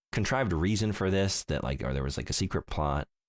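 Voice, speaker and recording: Vocal fry runs through this man's fairly quick delivery. The sound is dry and close with no echo, on a very clean recording with a silent background. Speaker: video game podcast host. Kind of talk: casual chat. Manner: fumbles words, repeats.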